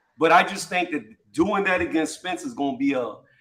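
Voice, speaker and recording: The voice is raised and projected, with a bright, sharp tone and an American accent. It moves at a very fast pace through very wide pitch swings. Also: man. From upstate New York, Syracuse. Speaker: boxing debate participant. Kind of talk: casual debate.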